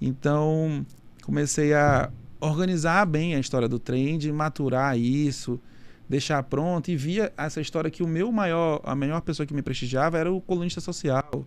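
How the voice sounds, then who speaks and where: A man with an unremarkable speaking voice talks at a moderate pace in a fairly high pitch, with ordinary pitch variation. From Manaus, Amazonas, northern Brazil. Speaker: nightlife event producer. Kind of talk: casual interview chat.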